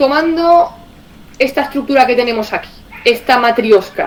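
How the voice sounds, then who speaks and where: Over noticeable background noise, a woman with an Andalusian accent talks at a moderate pace with an animated tone and lively intonation. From Andalusia, Spain. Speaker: communications director of a cooperative federation. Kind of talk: online presentation.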